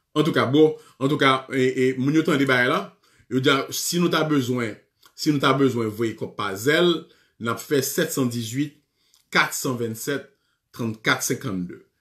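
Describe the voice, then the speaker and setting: The speech moves at a very slow pace with long, frequent pauses and ordinary pitch variation over a quiet background. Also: man. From Haiti. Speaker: radio show host. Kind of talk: live call-in show. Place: office. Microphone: webcam.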